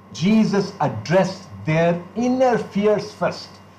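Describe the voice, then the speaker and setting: A man talks at a very slow pace in a high voice. Room echo is audible. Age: 60s. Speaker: pastor. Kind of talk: sermon.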